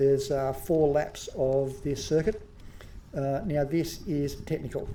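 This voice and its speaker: A man with an Australian accent speaks at a fairly slow pace and fairly high pitch, his intonation fairly even, amid audible room echo and noticeable background noise. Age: 50s. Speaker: amateur masters mountain bike racer and vlogger. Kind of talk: voice-over commentary on race footage. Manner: hesitant, many fillers.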